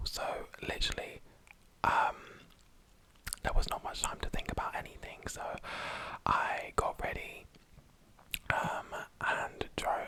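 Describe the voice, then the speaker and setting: Whispering at a fairly slow pace with long, frequent pauses, a man speaks against noticeable background noise. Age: young. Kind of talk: ASMR whisper ramble. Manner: whispered.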